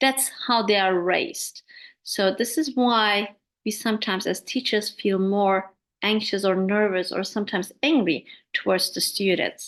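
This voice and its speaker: A woman talks in a medium pitch at a moderate pace with ordinary pitch variation. The background is quiet. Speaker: English teacher trainer. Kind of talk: webinar talk.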